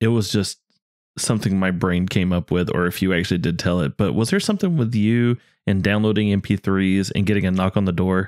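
An ordinary speaking voice with ordinary pitch variation, dry and close with no echo, on a very clean recording over a silent background. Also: man. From US South. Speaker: podcast co-host. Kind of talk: casual chat.

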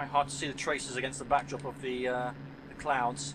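Noticeable background noise sits behind a man who speaks at a moderate pace in a monotone, flat intonation. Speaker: gameplay commentator. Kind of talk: casual gameplay commentary. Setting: headset mic, poor sound quality. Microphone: headset.

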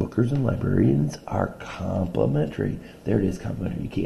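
This is an unforced reading voice. The words come through in that manner.

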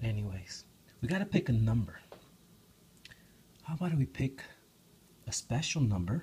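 Soft-spoken and somewhat breathy, a man at medium pitch moves at a moderate pace with very wide pitch swings and long, frequent pauses over light background noise. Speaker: hobby video maker. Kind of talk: casual ASMR tutorial talk to camera. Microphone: phone near.

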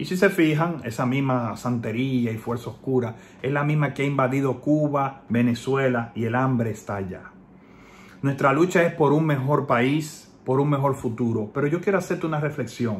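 A man speaks in a somewhat breathy voice with ordinary pitch variation. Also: moderate pace. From Dominican Republic. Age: 30s. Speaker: political commentator, online activist; political commentator. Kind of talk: personal video message. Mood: earnest, reflective. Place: home room.

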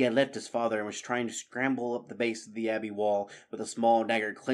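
The speaker is doing plain reading aloud. Nothing else stands out.

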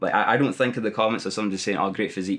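A man with a Scottish accent talks at a very fast pace. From Dumfries, Scotland. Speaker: primary school teacher. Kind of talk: interview answer. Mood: amused, determined. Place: gym. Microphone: lapel.

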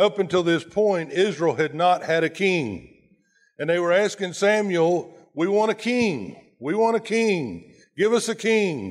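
A man with a high voice talks at a fairly slow pace and ordinary pitch variation over a quiet background. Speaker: pastor preaching. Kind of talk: sermon. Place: church.

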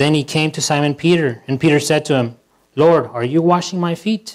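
A man at a fairly quick pace, with ordinary pitch variation, against a quiet background. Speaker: pastor. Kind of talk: scripture reading in a sermon. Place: church.

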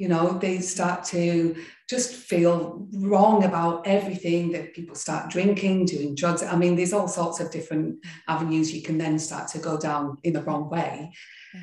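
Loudness swings widely in this moderately paced speech, with audible room echo. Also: woman, quiet background. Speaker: yoga and meditation teacher. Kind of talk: interview. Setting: video call. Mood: warm, reflective storytelling. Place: home room. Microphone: video call.

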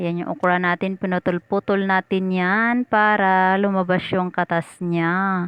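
At a fairly slow pace, a woman talks with a medium pitch. She leaves hardly any pauses. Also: dry, close sound with no echo. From Visayas, Philippines. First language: Cebuano (Bisaya) (speaking Tagalog). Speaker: cooking vlogger. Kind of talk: cooking tutorial. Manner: animated.

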